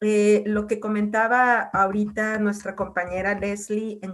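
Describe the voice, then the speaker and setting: Her medium-pitched voice stays monotone, with flat intonation throughout. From northwestern Mexico (Mazatlán, Sinaloa). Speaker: university researcher and program coordinator. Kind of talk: lecture. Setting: video call.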